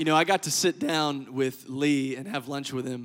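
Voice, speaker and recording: In an American accent, the speaker moves at a fairly quick pace with fairly even intonation on a very clean recording with a silent background. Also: man. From Louisiana (Lafayette, Cajun country). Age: young. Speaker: pastor. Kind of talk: sermon. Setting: church stage with audience.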